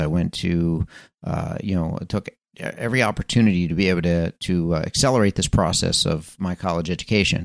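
A man's unremarkable speaking voice, fairly quick, with ordinary pitch variation and a dry, close sound with no echo. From Philadelphia area, Pennsylvania. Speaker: podcast host. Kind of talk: motivational monologue. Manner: casual with frequent fillers.

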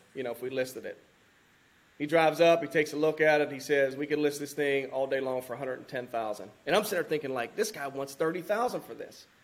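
Using a normal speaking voice, a man with a fairly high pitch talks at a fairly quick pace with ordinary pitch variation and big swings in loudness. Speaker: firefighter and land investor. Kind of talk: casual interview chat.

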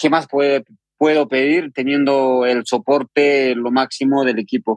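This man has a plain, everyday voice, fairly high in pitch. He talks fairly slowly, dry and close with no echo. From Peru, Andean highlands of Huancavelica. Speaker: trail runner. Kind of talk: interview.

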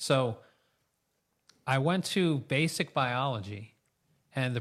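Over a very clean recording with a silent background, a man with an American accent speaks in an unremarkable speaking voice at a medium pitch with ordinary pitch variation. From New York State, US. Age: 50s. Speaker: chiropractor. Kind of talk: interview conversation. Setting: studio.

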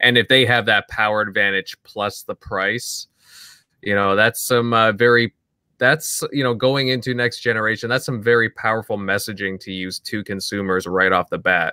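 This man's medium-pitched voice has a bright, sharp tone and fairly even intonation, delivered at a moderate pace in a dry, close sound with no echo. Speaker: podcast host. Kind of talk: casual panel chat about gaming news.

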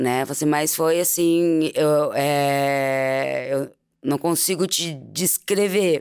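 A woman speaks very slowly with a very deep, low pitch. Her intonation stays fairly even. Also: very even loudness. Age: 40s. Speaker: mother of a murdered child. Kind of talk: emotional testimony. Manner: halting.

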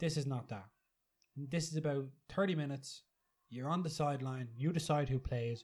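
In a very clean recording with a silent background, a man talks in a somewhat breathy, fairly high voice with ordinary pitch variation. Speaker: football podcast co-host. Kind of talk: live-style sports commentary while watching the match, banter. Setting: studio, watching a stream of the match. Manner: fast, chatty play-by-play, bantering and joking.

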